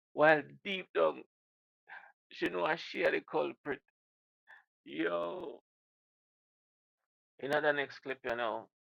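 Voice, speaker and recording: A man with a Jamaican accent and vocal fry, at a fairly slow pace with long, frequent pauses and very wide pitch swings. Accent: Jamaican patois. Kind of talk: casual reaction commentary to camera.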